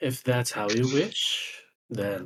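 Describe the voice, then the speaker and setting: The voice is a man's put-on character voice. It sits at a medium pitch. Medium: actual play.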